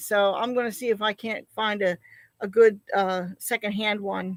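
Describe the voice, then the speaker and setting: A woman's voice sits at medium pitch with fairly even intonation. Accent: slight New Jersey. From New Jersey. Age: 60s. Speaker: homesteader. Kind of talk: live stream chat. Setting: outdoors on porch.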